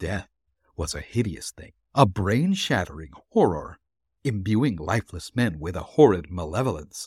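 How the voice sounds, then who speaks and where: Very deep and low in pitch, a man speaks at a moderate pace with lively intonation. His voice is somewhat breathy and swings a lot in loudness. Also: dry, close sound with no echo. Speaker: podcast host and narrator. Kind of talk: ghost story read aloud, dramatic narration of a horror tale. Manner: suspenseful, building dread through the climactic horror passage; warm and chatty in intro and sign-off.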